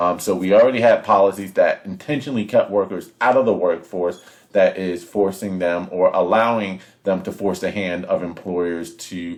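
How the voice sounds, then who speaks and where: This man has a plain, everyday voice, fairly low in pitch, with fairly even intonation at a moderate pace. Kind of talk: political commentary to camera.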